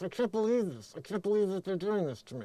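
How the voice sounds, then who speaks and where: Someone rattles off lines very fast in a put-on character voice at a middle pitch. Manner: indignant.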